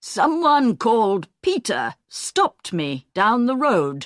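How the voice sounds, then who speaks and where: A put-on, female-sounding character voice, fairly high in pitch, very slow, with very wide pitch swings. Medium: read story. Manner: fussy, talkative.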